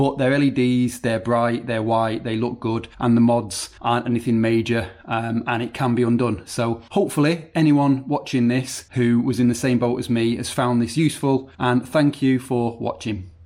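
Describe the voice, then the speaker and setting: An ordinary speaking voice from a man, medium in pitch, with fairly even intonation, a moderate pace and hardly any pauses. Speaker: car DIY youtuber. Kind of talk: tutorial.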